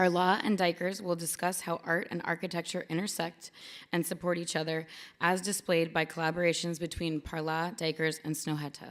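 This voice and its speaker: A woman speaks at a fairly quick pace and a fairly low pitch. Her intonation is monotone and flat, and the recording is very clean with a silent background. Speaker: museum programs director introducing event. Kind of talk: formal event introduction. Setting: museum event with live audience, livestreamed.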